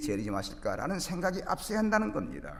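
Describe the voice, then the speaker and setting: A man speaks with vocal fry and very wide pitch swings. Audible room echo surrounds the recording. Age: 60s. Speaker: pastor. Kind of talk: sermon. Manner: formal.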